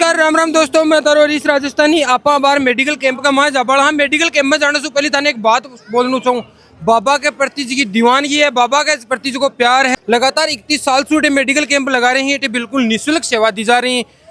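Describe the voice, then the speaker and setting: A man's extremely high-pitched voice is raised and projected, with a dry, close sound free of echo and noticeable noise in the background. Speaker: reporter. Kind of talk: field interview.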